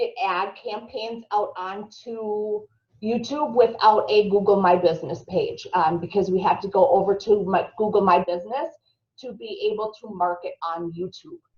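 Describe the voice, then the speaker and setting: Speaking fairly slowly with a strong Minnesotan accent, a woman uses ordinary pitch variation while her loudness swings widely. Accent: thick Minnesota. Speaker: marketing instructor. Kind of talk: webinar tutorial.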